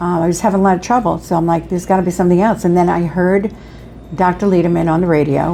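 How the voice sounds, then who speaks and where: Against noticeable background noise, a woman speaks with a fairly low pitch and fairly even intonation. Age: 70s. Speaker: patient. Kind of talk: testimony.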